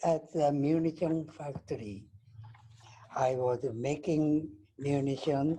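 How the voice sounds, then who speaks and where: A dark, mellow tone comes through in a Japanese accent. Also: man. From Japan, Nagasaki. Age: 80s+. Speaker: atomic bomb survivor. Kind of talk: testimony.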